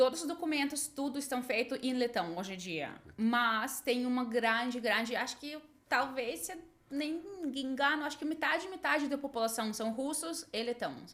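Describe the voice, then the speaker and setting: High-pitched female speech with lively intonation, delivered at a moderate pace. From Latvia, Riga. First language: Russian and Latvian (speaking Portuguese). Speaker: English teacher and translator. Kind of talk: podcast interview.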